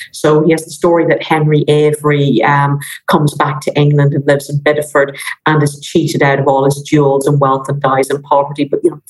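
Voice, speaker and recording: With music in the background, a woman speaks in a very deep, low voice at a fairly quick pace, flat and monotone, with an Irish accent. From Ireland. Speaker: maritime history professor. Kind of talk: casual interview chat.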